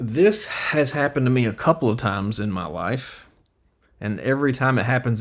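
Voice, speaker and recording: Using a plain, everyday voice, a man talks at a medium pitch and moderate pace with lively intonation. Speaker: videographer. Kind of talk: casual storytelling to camera.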